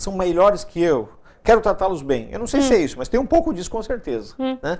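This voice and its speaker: A fairly quick speaker on a very clean recording with a silent background. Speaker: TV talk show host. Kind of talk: TV interview host talk.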